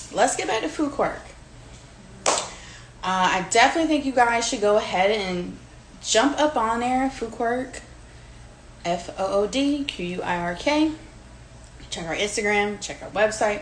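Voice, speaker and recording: The speaker talks at a moderate pace with an American accent and lively intonation. Long, frequent pauses and audible room echo mark the clip. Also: woman, fairly high pitch for a woman. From Virginia Beach, US. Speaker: home cook, food creator. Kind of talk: cooking demonstration. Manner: casual, chatty with fillers.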